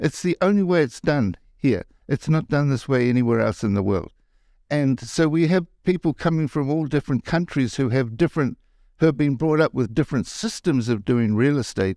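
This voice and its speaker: A man with a fairly high pitch and a dark, mellow tone speaks at a moderate pace with lively intonation, recorded very cleanly against a silent background with a dry, close sound and no echo. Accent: New Zealand. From New Zealand. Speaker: committee chair and real estate agent. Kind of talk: casual interview.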